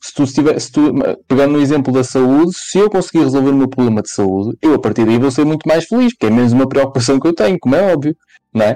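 This man's medium-pitched voice has a dark, mellow tone. His pitch varies in an ordinary way. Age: 20s. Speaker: podcast co-host. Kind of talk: casual chat.

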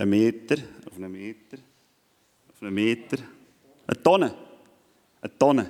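A man speaks at a moderate pace and medium pitch, with lively intonation. He leaves long, frequent pauses. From Switzerland. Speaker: youth event speaker. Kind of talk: sermon.

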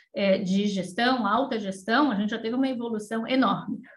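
A woman talks at a moderate pace in a somewhat breathy voice with ordinary pitch variation. Room echo is audible. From Brazil, São Paulo. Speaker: energy company executive. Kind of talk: interview.

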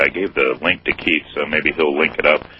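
Noticeable background noise runs behind this man, whose pace is moderate. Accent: American. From US Midwest, Ohio. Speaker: caller. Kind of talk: radio call-in. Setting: phone call.

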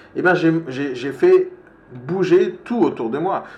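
This man's voice carries audible echo from the room, with noticeable noise in the background. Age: 40s. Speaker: entrepreneur and live-stream coach. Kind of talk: live-stream motivational talk. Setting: live video stream with participants. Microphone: microphone problem.

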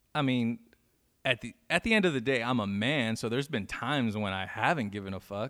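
With an American accent and an ordinary speaking voice, a man talks at a fairly quick pace, his medium pitch showing ordinary variation. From Inland Empire, Southern California. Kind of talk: casual interview chat.

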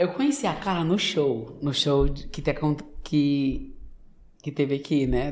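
Audible room echo carries a man's fairly high pitch. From Brazil, Maranhão (São Luís), Northeast. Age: 20s. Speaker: manicurist. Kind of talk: casual interview.

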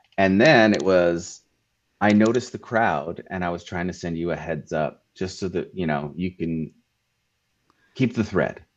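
A man with an American accent speaks at a moderate pace in a very deep, low pitch with ordinary pitch variation. Long, frequent pauses break his speech against a quiet background. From Southern California. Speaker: school technology specialist. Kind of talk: casual chat.

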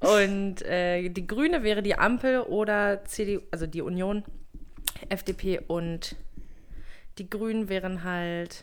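Very slowly and with long, frequent pauses, a woman speaks at a medium pitch. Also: ordinary pitch variation. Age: 20s. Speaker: podcast co-host. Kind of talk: casual chat.

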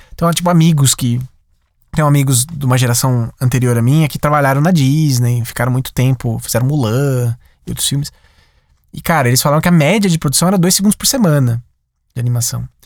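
Talking at a very fast pace is a man. His pitch is fairly high, with ordinary variation. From interior of São Paulo state, Brazil (Sumaré). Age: 30s. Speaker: animator and animation studio director. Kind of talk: interview.

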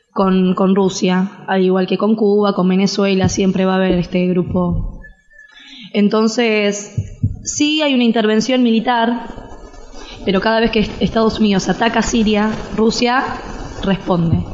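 Over noticeable background noise, a woman speaks at a fairly slow pace with fairly even intonation and very even loudness. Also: medium pitch for a woman. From Argentina. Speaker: interviewee on Syria. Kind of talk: interview.

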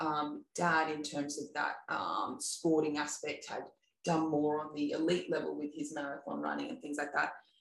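At a moderate pace, a woman talks with an Australian accent. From Australia, Sawtell, New South Wales. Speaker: ultra-distance paddler, former professional Ironman athlete and dietitian. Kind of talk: casual interview chat. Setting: in-person studio recording.

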